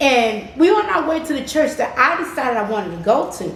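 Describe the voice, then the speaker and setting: Her high-pitched voice swings very widely in pitch as a woman speaks in an animated tone at a moderate pace, with audible room echo and noticeable background noise. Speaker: channel co-host telling a faith story. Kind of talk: personal testimony storytelling.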